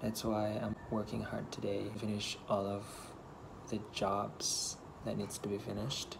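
A fairly low-pitched male voice over noticeable background noise. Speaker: vlogger. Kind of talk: casual vlog chat. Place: home room. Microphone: earbuds.

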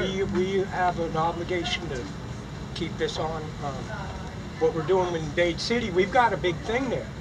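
Moderate-paced speech over noticeable background noise. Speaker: community organizer promoting a local blues and heritage project. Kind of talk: casual panel or audience talk. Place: garden. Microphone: camera far.

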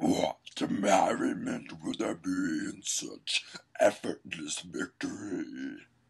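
Bellowing and raspy, a man talks very slowly in a put-on character voice at an extremely high pitch. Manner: roaring, wrathful.

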